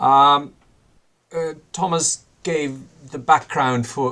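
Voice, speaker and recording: Speaking in a Swedish accent, a man goes at a very slow pace with fairly even intonation. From Sweden. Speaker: professor. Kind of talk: lecture. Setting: video call. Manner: halting.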